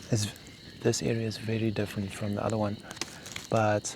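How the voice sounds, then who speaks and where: A soft-spoken man's fairly low, monotone, flat voice at a moderate pace over noticeable background noise. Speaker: bushcraft vlogger. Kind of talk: solo outdoor vlog narration. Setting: outdoors at night in the bush.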